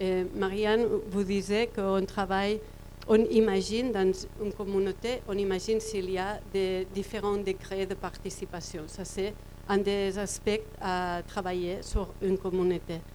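A woman talks at a fairly slow pace in a medium pitch, her intonation flat and monotone. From Catalonia, Spain. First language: Catalan (speaking French). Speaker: cooperative worker presenting a model. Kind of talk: presentation. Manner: halting, searching for words.

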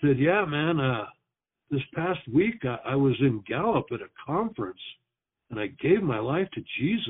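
A man speaks at a moderate pace in a fairly high voice. His pitch swings very widely. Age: 60s. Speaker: pastor. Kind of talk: testimony. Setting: phone call. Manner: halting.

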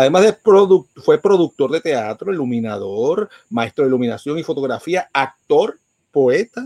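Very wide pitch swings mark an animated tone delivered at a moderate pace in a dry, close sound with no echo. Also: man. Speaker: podcast host and radio host. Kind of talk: news reading; casual chat. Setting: live stream from home.

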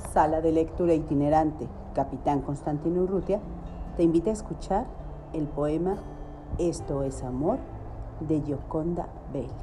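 Music plays in the background as a woman speaks with a very deep, low pitch. Her pitch varies in an ordinary way, with long, frequent pauses. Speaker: poetry reader. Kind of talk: poem read aloud, intimate and sensual. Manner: slow, lyrical, tender, rhythmic with emphatic repetition.

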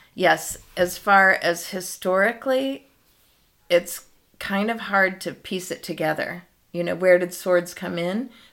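A woman with a normal speaking voice and medium pitch talks at a fairly slow pace with ordinary pitch variation. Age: 60s. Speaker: yoga and dance teacher. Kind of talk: casual interview chat.

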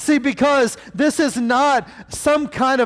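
A man speaks loudly in an animated tone. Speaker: preacher. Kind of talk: sermon. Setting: church with congregation. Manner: getting louder, animated.

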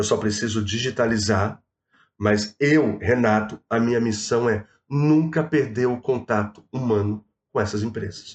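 Against a quiet background, a man talks at a medium pitch and a fairly slow pace. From Rio de Janeiro state, Baixada Fluminense. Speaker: proptech entrepreneur. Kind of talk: casual chat. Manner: animated.

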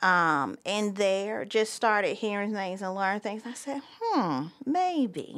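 A woman's medium-pitched voice with a Southern US accent and lively intonation, at a very slow pace with hardly any pauses, on a very clean recording with a silent background. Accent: Southern American. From US South, Myrtle Beach, South Carolina. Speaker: school principal. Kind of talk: interview.

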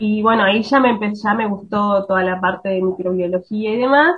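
This woman has a plain, everyday voice pitched fairly high. Her pitch varies in an ordinary way. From Río Negro, Argentina. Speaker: biologist researcher. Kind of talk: radio interview.

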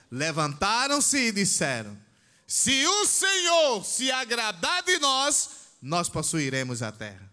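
A man at a very slow pace with very wide pitch swings, over noticeable background noise. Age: 60s. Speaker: pastor. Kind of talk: sermon. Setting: church.

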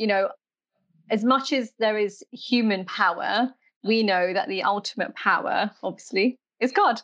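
Delivered in a normal speaking voice at a fairly slow pace, the speech has ordinary pitch variation and a dry, close sound with no echo. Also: woman, fairly high pitch for a woman. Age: 30s. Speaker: podcast host. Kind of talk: casual interview.

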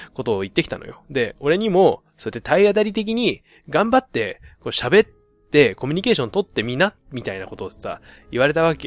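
A man's fairly high voice at a very fast pace, with very wide pitch swings and a dry, close sound with no echo. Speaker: podcast host. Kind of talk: casual solo monologue.

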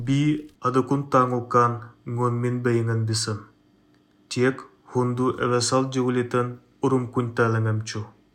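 Very slowly and in a monotone, flat intonation, a man at medium pitch talks with long, frequent pauses. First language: Even (speaking Russian). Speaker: listener sending a voice message. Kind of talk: recorded voice message in Even.

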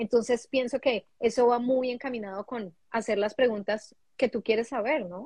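A woman with a normal speaking voice, fairly high in pitch, at a moderate pace, in a dry, close sound with no echo. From Colombia. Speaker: international graduate, HR worker. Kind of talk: casual chat.

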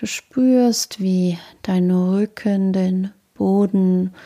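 On a very clean recording with a silent background, a woman speaks at a medium pitch. Her tone is dark and mellow, and her intonation is monotone and flat. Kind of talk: guided meditation (yoga nidra body scan). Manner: slow, calm, soothing; soft-spoken, with long pauses between short phrases.

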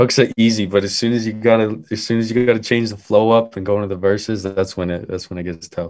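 A man with a Western Canadian accent talks at a very fast pace with hardly any pauses. His fairly low pitch follows fairly even intonation. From Calgary, Alberta. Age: 20s. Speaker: rapper and music producer. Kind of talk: casual interview. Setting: in his bedroom, remote call.

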